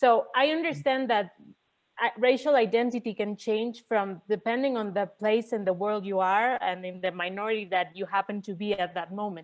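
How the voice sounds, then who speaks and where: A woman's medium-pitched voice in a Mexican accent, at a moderate pace with ordinary pitch variation. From Mexico. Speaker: audience member asking a question. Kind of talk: Q&A question at an online conference session. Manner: halting, repeats words.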